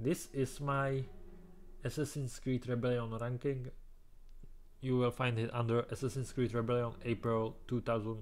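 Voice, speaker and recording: A man speaks at a moderate pace and medium pitch in a flat monotone, with long, frequent pauses and very even loudness. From Czech Republic. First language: Czech. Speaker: gaming youtuber. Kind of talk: game tier list commentary. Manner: halting.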